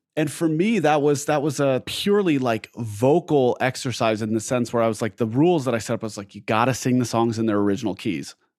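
Very fast and medium-pitched, a man talks with an American accent. The recording is very clean, with a silent background. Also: lively intonation. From Southern California. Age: 30s. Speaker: singer. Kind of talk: casual chat.

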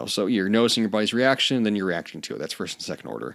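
A man talks at a fairly low pitch. His voice carries vocal fry. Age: 20s. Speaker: podcast host, personal trainer and writer. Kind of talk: solo monologue podcast. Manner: casual, filler-heavy.

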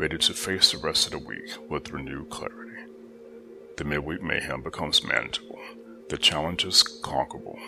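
Whispering at a fairly quick pace over music in the background, a man uses a soothing, calm tone with big swings in loudness. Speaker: meditation guide. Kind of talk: guided meditation. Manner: soothing, calm and measured.

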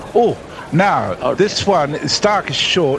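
Lively intonation marks this man's speech in an Australian accent, with noticeable background noise behind him. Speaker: cricket commentator. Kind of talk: live commentary.

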